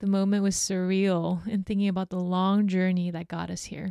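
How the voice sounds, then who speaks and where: In a very clean recording with a silent background, a woman with a Californian accent speaks in a dark, mellow tone and a monotone, flat intonation. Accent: Californian American. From Hong Kong, then San Francisco from age eight. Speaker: podcast host and social enterprise director. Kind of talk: personal storytelling monologue.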